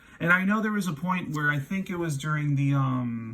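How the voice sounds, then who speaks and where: A man's fairly high pitch at a moderate pace, with ordinary pitch variation. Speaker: math teacher. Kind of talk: lecture. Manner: halting.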